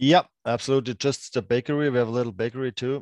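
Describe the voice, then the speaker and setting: A man with a German accent and fairly even intonation, against a quiet background. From Germany, Freiburg. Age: 30s. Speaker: former pro ice hockey player, grocery store owner. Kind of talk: casual chat interview. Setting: remote call. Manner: halting, many fillers.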